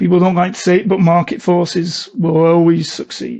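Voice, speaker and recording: At a fairly slow pace, a man talks with a high pitch. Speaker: cybersecurity consultant, ethical hacker. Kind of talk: podcast interview. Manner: monotone.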